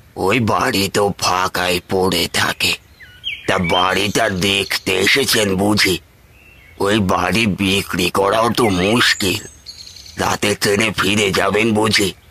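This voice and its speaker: A cartoonish character voice, monotone and flat, at a very slow pace, with very even loudness and a dry, close sound free of echo. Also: man. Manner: rambling, hesitant.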